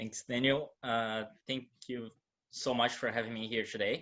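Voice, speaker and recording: In a Portuguese accent, a man speaks with monotone, flat intonation. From Brazil. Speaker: moderator, gallery director. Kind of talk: panel moderation. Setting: video call.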